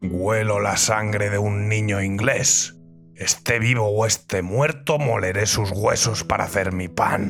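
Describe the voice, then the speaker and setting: Over clear music in the background, a put-on character voice growls in a menacing tone at a fairly slow pace. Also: man, fairly low pitch for a man. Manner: growling, menacing.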